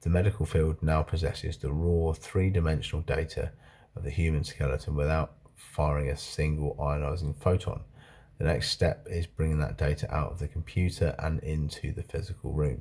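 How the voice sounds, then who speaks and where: Speaking at a moderate pace, a man has a very deep, low pitch and a dark, mellow tone. His voice is somewhat breathy, with fairly even intonation. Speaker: video blogger. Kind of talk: reading aloud. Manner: slurred.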